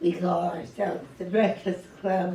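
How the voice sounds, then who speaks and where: A woman talks at a medium pitch while audible room echo surrounds her. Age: 80s+. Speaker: poet and Parkinson's advocate. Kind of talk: reading and personal talk at event. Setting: arts center event with audience.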